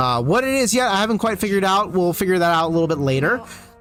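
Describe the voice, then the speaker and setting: A man with an American accent and lively intonation, over noticeable background noise. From US, Korean-born family. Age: 30s. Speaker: gaming streamer. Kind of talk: casual chat. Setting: livestream. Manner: fast.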